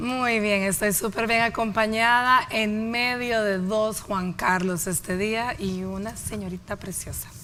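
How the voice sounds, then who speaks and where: This woman talks at a very slow pace with hardly any pauses, her pitch fairly high and her intonation fairly even. Her tone is bright and sharp. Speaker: TV health show host. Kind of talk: TV show hosting.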